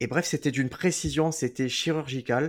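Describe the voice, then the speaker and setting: A man talks with ordinary pitch variation on a very clean recording with a silent background. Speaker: podcast host and comedian. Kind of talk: casual chat. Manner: puts on a presenter voice for intros.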